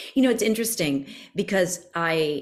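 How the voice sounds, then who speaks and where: A woman has an ordinary speaking voice with an American accent. Her pitch is fairly low and varies in an ordinary way. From US South, Miami, Florida. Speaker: podcast guest. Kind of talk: podcast conversation.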